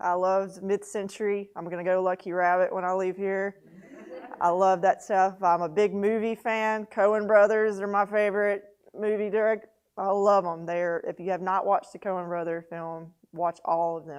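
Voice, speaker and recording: A woman talks in a Southern US accent at a moderate pace. Her intonation stays monotone and flat. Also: medium pitch for a woman. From Mississippi (Monticello/Natchez). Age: 40s. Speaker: newspaper editor and publisher. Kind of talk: mentor talk to students.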